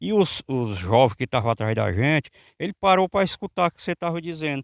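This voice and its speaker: A man with lively intonation, in a dry, close sound with no echo, on a very clean recording with a silent background. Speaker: local reporter. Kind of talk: interview.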